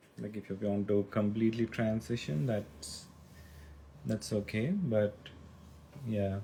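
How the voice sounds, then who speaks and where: A somewhat breathy voice with a dark, mellow tone, ordinary pitch variation, a fairly slow pace and long, frequent pauses. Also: man, fairly low pitch for a man. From India, Hyderabad. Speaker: livestreamer. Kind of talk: casual chat. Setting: livestream.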